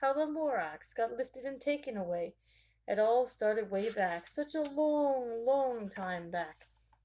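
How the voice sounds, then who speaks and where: A woman's nasal, put-on character voice, high-pitched with lively intonation, at a moderate pace. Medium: read story.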